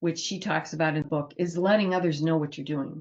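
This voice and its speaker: A woman talks at a moderate pace with a fairly low pitch. Her voice has vocal fry. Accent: American. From Ohio, US Midwest. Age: 70s. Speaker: end-of-life doula and nurse. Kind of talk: informal talk to a group. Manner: conversational, some hesitations.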